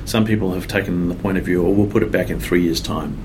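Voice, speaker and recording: A man with an Australian accent talks very fast with ordinary pitch variation, and his voice carries audible room echo over noticeable background noise. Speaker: software developer. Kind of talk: interview. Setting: conference. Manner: hesitant, many fillers.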